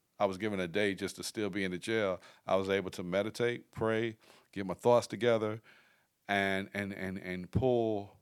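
A man with an American accent speaks at a moderate pace in a normal speaking voice, fairly low in pitch with fairly even intonation, on a very clean recording with a silent background. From Fayetteville, North Carolina. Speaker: former prisoner, filmmaker and author. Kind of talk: casual interview, personal testimony.

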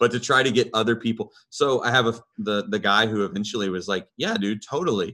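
The tone is bright and sharp, with ordinary pitch variation at a fairly quick pace. The recording is very clean, with a silent background. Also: man, medium pitch for a man. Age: 30s. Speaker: metal band bassist and vocalist. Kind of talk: casual chat.

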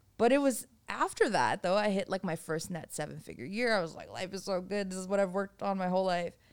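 A woman talks at a very fast pace with an American accent and ordinary pitch variation. The recording is very clean, with a silent background. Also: medium pitch for a woman, hardly any pauses. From Boston, US. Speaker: real estate developer and former restaurant owner. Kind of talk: casual interview chat.

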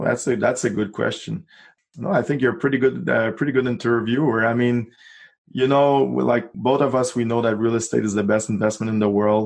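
A man's medium-pitched voice with a Quebec accent, fairly quick pace, very even loudness and ordinary pitch variation. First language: French. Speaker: real estate investor. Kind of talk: interview.

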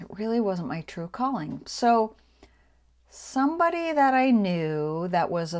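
In a very clean recording with a silent background, a woman with an unremarkable speaking voice talks at a fairly slow pace with ordinary pitch variation. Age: 50s. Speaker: podcast host, business and social media coach. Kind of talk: solo monologue.

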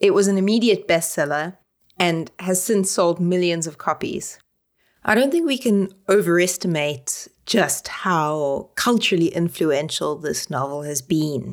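Speaking with a South African accent, a woman uses a fairly low pitch and lively intonation at a fairly slow pace. The recording is very clean, with a silent background. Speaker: literary scholar, podcast co-host. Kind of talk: casual discussion.

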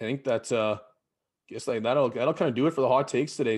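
A man speaks with a Canadian Prairie accent against a quiet background. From Saskatchewan, Canada (Battleford). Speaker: podcast host, teacher. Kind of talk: casual chat.

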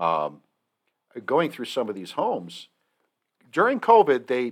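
A plain, everyday voice with an American accent, moderate pace and lively intonation, on a very clean recording with a silent background. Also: man. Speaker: podcast host. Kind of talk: casual chat.

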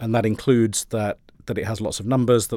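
A man with a British accent talks very fast in a fairly low voice, on a very clean recording with a silent background. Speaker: education professor. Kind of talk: interview.

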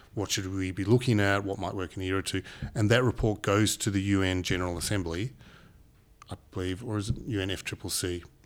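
In a very clean recording with a silent background, a man with an Australian accent speaks at a very fast pace, fairly low in pitch, with fairly even intonation. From Papua New Guinea. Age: 40s. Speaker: renewable energy businessman. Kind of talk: casual interview chat.

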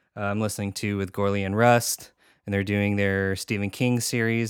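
A man with an American accent, fairly low pitch and a playful tone, monotone, flat intonation at a moderate pace, on a very clean recording with a silent background. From Portland, Oregon. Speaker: podcaster and video editor. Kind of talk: casual chat. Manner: joking, playful.

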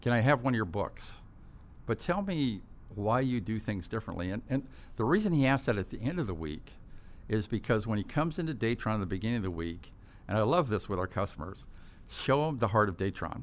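Lively intonation marks this man's very fast delivery in an American accent. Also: medium pitch for a man, very clean recording, silent background. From Southern California, Orange County. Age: 60s. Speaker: company CEO and founder. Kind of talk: interview. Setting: studio.

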